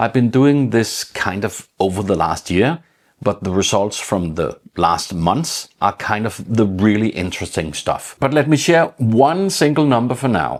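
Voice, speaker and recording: With a Danish accent, a man at a medium pitch talks at a fairly slow pace with hardly any pauses and very wide pitch swings. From Denmark. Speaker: tech YouTuber. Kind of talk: tutorial.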